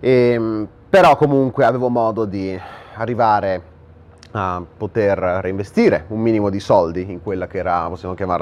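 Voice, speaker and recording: A man's voice with big swings in loudness and ordinary pitch variation. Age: 20s. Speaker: online entrepreneur and influencer; influencer. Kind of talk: direct-to-camera monologue. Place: home room.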